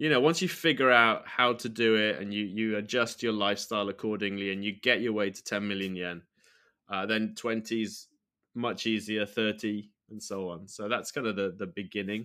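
A man speaks at a moderate pace in a fairly low voice with a British accent, his tone bright and sharp. His intonation stays fairly even, and the recording is very clean with a silent background. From United Kingdom. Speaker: retired university English lecturer, finance website founder. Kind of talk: interview.

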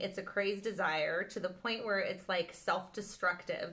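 Noticeable background noise runs under a woman's voice. She talks at a moderate pace with a medium pitch and ordinary pitch variation. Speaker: podcast host. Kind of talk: casual chat.

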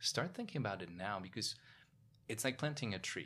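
With a Polish accent, a man speaks at a fairly quick pace in a bright, sharp tone. The recording is very clean, with a silent background. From Poland. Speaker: investment professional and author. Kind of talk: interview.

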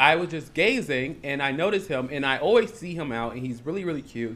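The voice belongs to a man with an American accent. Its tone is animated. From Chicago area, Illinois. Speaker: podcast host. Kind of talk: casual chat. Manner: animated, bantering.

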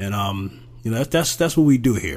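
The man's voice sits at a fairly low pitch. It is somewhat breathy. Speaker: podcast host. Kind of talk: monologue commentary.

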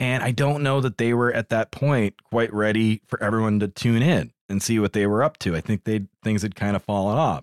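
Speaking with a plain, everyday voice, a man uses a fairly low pitch with ordinary variation, a moderate pace, hardly any pauses and very even loudness. The recording is very clean, with a silent background and a dry, close sound that has no echo. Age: 30s. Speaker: podcast co-host. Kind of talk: casual chat.

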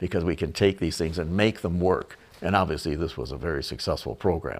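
A man speaks at a very deep, low pitch with vocal fry and a fairly quick pace. The recording is very clean, with a silent background. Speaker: retired car designer. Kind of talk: casual narration. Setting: at home. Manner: halting, many fillers.

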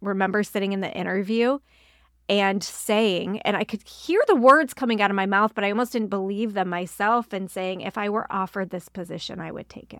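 On a very clean recording with a silent background, a woman with a normal speaking voice talks at medium pitch and a moderate pace, with fairly even intonation. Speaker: pastor and ministry leader. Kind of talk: casual chat.

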